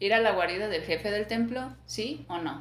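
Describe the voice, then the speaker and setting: Ordinary pitch variation with music in the background. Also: woman. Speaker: podcast host. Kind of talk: ghost story telling, reading a first-person creepypasta aloud. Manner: casual and chatty between story sections.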